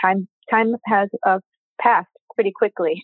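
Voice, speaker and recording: At a fairly slow pace, a woman with an American accent speaks in a monotone with flat intonation. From Michigan, outside Detroit. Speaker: tax attorney and law professor. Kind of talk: interview.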